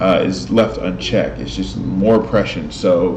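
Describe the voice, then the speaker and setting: Noticeable background noise sits behind the speaker, a man. He talks at a fairly slow pace. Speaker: host of spiritual talk videos. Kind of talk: casual talk to camera. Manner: hesitant, stuttering at times.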